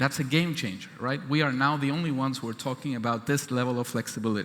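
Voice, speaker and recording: Ordinary pitch variation marks this man's voice. He talks at a fairly quick pace. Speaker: government chief scientist. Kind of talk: keynote speech. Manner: fast.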